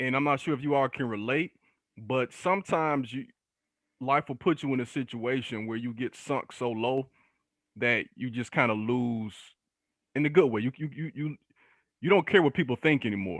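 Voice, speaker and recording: An animated man speaks at a moderate pace and medium pitch, with ordinary pitch variation and long, frequent pauses. The sound is dry and close with no echo, over a quiet background. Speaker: history teacher and speaker. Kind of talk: podcast interview. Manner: casual, animated.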